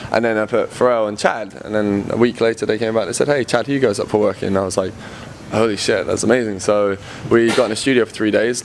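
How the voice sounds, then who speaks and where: A man with a London accent talks at a very fast pace and medium pitch, his intonation fairly even over noticeable background noise. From England, London. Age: 20s. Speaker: electronic music producer. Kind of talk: casual interview.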